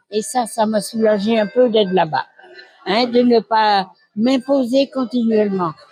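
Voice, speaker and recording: With music in the background, a woman with a fairly high pitch speaks at a moderate pace. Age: 80s+. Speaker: nursing home resident. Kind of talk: testimony. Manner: halting.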